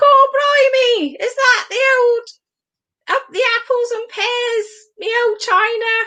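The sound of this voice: A woman's put-on character voice in a Cockney accent, extremely high-pitched, at a fairly slow pace. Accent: London Cockney.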